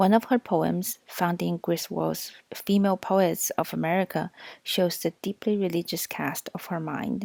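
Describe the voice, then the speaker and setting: A woman speaks at a fairly slow pace in a fairly low register. The sound is dry and close, with no echo. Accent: non-native. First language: not English. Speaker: audiobook reader. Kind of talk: reading aloud.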